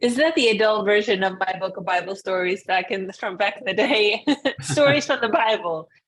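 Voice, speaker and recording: Over noticeable background noise, a woman speaks fairly quickly at a medium pitch, animated in tone with lively intonation. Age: 40s. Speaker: YouTube interviewer. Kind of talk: interview.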